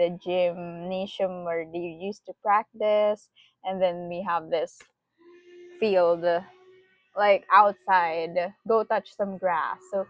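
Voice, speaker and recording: A woman at a medium pitch, monotone and flat, at a very slow pace with long, frequent pauses and music in the background. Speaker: tarot reader. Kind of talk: tarot reading. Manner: soft-spoken, reflective.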